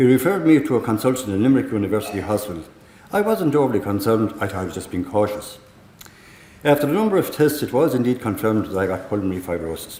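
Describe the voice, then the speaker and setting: A man with a Tipperary accent talks at a very fast pace in a fairly low pitch. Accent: Irish (Tipperary). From Ireland, County Tipperary. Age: 60s. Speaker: lung transplant recipient. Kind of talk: prepared testimony speech.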